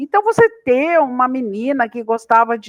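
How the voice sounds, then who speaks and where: A woman talks at a fairly slow pace with a fairly high pitch and ordinary pitch variation. The recording is very clean with a silent background. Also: dry, close sound with no echo. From interior of São Paulo state, Brazil. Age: 60s. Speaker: agricultural scientist. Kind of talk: podcast interview. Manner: hesitant, many fillers.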